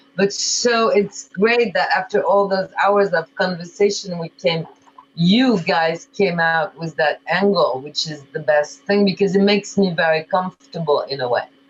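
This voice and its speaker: The speaker uses a French accent, a moderate pace, and ordinary pitch variation. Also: woman, medium pitch for a woman. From France, of Eastern European immigrant family. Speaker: diet company founder. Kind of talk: coaching conversation.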